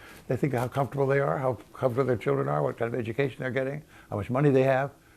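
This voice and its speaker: Very fast speech from a man at medium pitch, with vocal fry and ordinary pitch variation. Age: 80s+. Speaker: historian. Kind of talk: interview answer.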